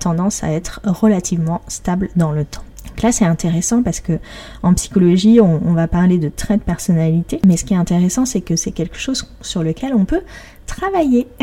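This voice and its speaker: Over noticeable background noise, a woman speaks at a moderate pace in a cheerful tone. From Paris, France. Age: 30s. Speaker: podcast host and blogger. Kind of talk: solo podcast monologue. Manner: cheerful, laughs often.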